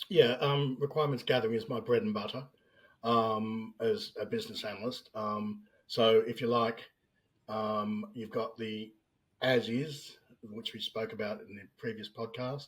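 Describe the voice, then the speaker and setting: With an Australian accent, a man talks at a moderate pace and medium pitch, his intonation fairly even while his loudness swings widely. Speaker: business analyst. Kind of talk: interview podcast.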